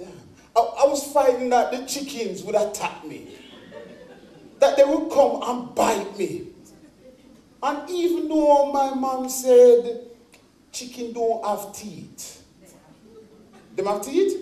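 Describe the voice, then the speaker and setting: A man with a Jamaican accent speaks at a very slow pace, leaving long, frequent pauses amid noticeable background noise. His pitch is extremely high, his intonation lively, and his loudness swings widely. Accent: English with Jamaican patois touches. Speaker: stage performer. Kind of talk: one-man stage show monologue. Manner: humorous, storytelling, talking to audience.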